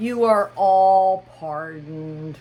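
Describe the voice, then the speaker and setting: This quiet voice sits at a middle pitch. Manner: low, hushed.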